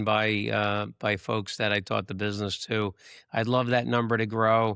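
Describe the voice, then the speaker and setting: An unremarkable speaking voice from a man, medium in pitch, with ordinary pitch variation and a moderate pace, over a very clean, silent background. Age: 60s. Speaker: real estate broker. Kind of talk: podcast interview.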